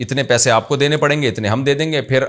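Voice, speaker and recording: Recorded very cleanly against a silent background, this is an unremarkable speaking voice. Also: man. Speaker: Islamic scholar (mufti) answering religious questions. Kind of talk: religious lecture answering viewers' questions.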